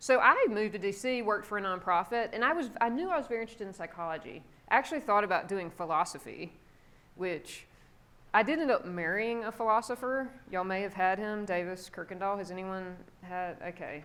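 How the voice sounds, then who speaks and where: In a South Carolina accent, a woman speaks very fast with a bright, sharp tone and ordinary pitch variation, on a very clean recording with a silent background. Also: medium pitch for a woman. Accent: toned-down South Carolina. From South Carolina, US South. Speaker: psychology professor. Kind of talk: guest lecture. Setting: classroom with students. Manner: casual, conversational.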